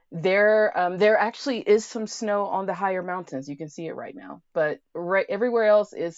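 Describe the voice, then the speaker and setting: A woman with an American accent and a plain, everyday voice speaks at a moderate pace and medium pitch, with lively intonation, big swings in loudness and hardly any pauses. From United States, Colorado. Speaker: guest, RV traveler. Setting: in an RV, remote call.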